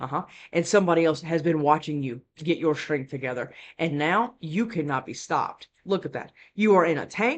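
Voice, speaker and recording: A fairly quick pace against a quiet background. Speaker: tarot reader. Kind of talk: tarot reading. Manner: fast; animated.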